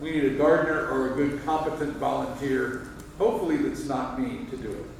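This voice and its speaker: Someone speaks at a fairly quick pace, with audible room echo and noticeable background noise. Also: man, fairly high pitch for a man, ordinary pitch variation. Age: 60s. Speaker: church member at annual meeting. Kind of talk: meeting discussion.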